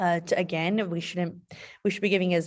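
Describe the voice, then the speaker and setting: With an American accent, a woman speaks in an unremarkable speaking voice at a fairly low pitch with ordinary pitch variation. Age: 30s. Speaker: state legislator. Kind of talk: town hall interview.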